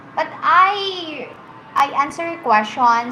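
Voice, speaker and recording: Amid noticeable background noise and audible room echo, a woman with a Filipino accent speaks in a raised, projected voice, high in pitch and lively in intonation. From Philippines. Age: 20s. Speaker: livestreamer. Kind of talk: casual chat.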